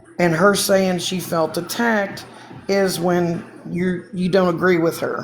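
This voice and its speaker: Over noticeable background noise and audible room echo, the speech comes very slowly in a monotone, flat intonation. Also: woman, long, frequent pauses. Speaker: TikTok livestreamer. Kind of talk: casual live stream chat. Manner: rambling with fillers; heated.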